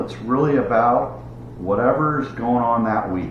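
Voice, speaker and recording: With audible room echo and noticeable background noise, a man talks at a moderate pace with ordinary pitch variation. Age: 60s. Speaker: YouTuber, hobby gardener and fisherman. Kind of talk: casual vlog monologue. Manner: halting, with fillers and restarts.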